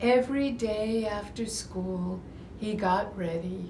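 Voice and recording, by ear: A natural voice reading aloud, its pitch varying in an ordinary way.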